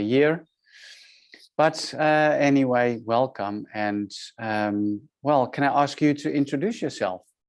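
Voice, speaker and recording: Fairly slow speech in a Dutch accent, with ordinary pitch variation and a quiet background. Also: man. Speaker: podcast host, business mentor. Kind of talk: podcast interview. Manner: halting, many fillers.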